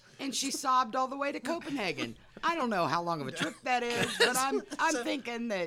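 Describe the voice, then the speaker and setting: Over noticeable background noise, a woman talks at a fairly quick pace, her pitch swinging very widely. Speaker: podcast host narrating history.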